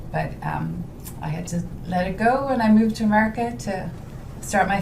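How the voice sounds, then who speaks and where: With a Dublin accent, a woman speaks at a moderate pace with ordinary pitch variation, with audible room echo and noticeable background noise. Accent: Irish (Dublin). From Ireland, Dublin. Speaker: home stager, business owner. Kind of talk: casual interview chat.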